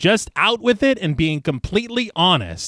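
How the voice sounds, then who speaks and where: A man's voice with very wide pitch swings, dry and close with no echo, on a very clean recording with a silent background. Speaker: horror podcast host. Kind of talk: casual chat with plot recap. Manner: fast.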